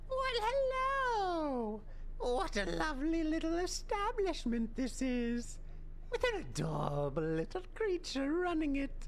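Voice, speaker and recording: A high-pitched put-on character voice at a fairly slow pace, with clear background noise. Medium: game stream. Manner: theatrical, overly charming.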